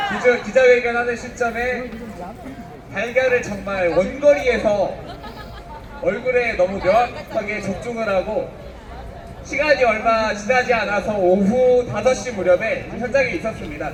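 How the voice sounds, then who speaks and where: Fairly slow speech broken by long, frequent pauses, with crowd noise in the background. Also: man, extremely high pitch for a man, ordinary pitch variation. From Honam region, South Korea. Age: 30s. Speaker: political rally speaker. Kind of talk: political rally speech. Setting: outdoors.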